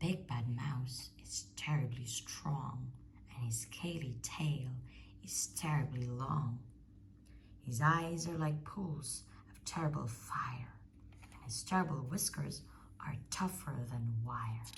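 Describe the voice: Put-on character voice from a woman, extremely low in pitch, slow in pace, with ordinary pitch variation.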